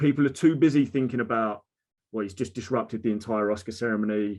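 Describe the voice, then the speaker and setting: Over a quiet background, a man with an Essex accent talks at a very fast pace, with medium pitch and ordinary pitch variation. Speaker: mental health advocate, social media creator. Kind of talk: casual conversation. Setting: video call.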